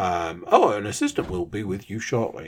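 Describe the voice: This is a put-on character voice that sounds robotic. It moves at a moderate pace. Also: man, fairly low pitch for a man.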